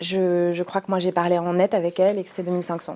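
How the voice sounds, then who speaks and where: A woman speaks at a fairly slow pace in a fairly low pitch. Her tone is dark and mellow, with monotone, flat intonation. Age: 30s. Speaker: lawyer and anti-corruption association president. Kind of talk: interview.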